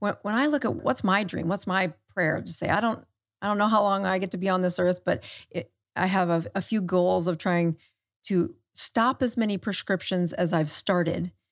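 With an American accent, a woman speaks in a plain, everyday voice at medium pitch with ordinary variation and a moderate pace, on a very clean recording with a silent background. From South Dakota, US Midwest. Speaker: medical doctor. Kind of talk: podcast interview. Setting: studio.

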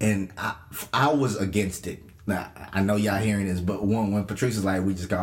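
With audible room echo, a man speaks in a fairly low voice. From Kenya. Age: young. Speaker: podcast co-host, youth pastor. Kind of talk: casual chat.

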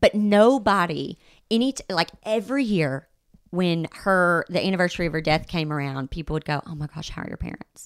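On a very clean recording with a silent background and a dry, close sound with no echo, a woman with a Southern US accent speaks fairly quickly at a fairly low pitch with big swings in loudness. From Arkansas, US South. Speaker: podcast guest. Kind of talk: casual chat.

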